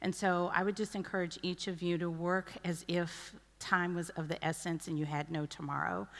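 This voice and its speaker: A woman speaks at a moderate pace with an American accent and hardly any pauses. Her intonation stays fairly even. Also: fairly low pitch for a woman. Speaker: pharmaceutical company executive. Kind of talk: closing remarks at conference. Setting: stage with audience.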